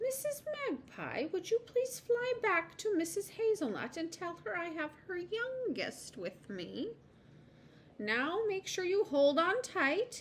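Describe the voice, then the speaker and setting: Using a put-on character voice, a woman speaks fairly slowly at an extremely high pitch with very wide pitch swings, over clear background noise. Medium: read story. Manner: polite, gentle.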